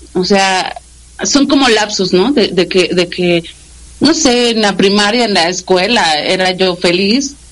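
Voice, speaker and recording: Speaking at a very slow pace, a woman with medium pitch uses lively intonation and keeps her loudness very even. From Mexico City. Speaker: radio station director. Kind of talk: interview. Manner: halting.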